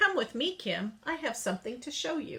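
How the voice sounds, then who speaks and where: A woman uses a put-on character voice, pitched high with very wide pitch swings. She keeps a moderate pace. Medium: read story.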